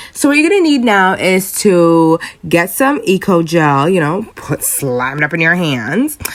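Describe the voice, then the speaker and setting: A woman's playful voice at medium pitch, with very wide pitch swings and noticeable background noise. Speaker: friend doing comedic voiceover. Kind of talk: humorous voiceover commentary on hair tutorial. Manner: playful, sassy, casual.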